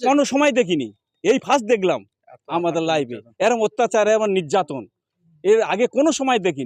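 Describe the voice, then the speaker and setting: A high-pitched man's voice with very wide pitch swings. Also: dry, close sound with no echo. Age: 60s. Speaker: villager protesting police violence. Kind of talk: street interview. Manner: agitated.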